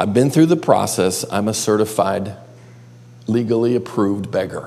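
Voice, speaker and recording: A man speaks in an animated tone at a moderate pace, his intonation lively, with audible echo in the room. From western New York (Buffalo area). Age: 50s. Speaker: pastor and counselor. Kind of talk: teaching session. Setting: classroom with live audience.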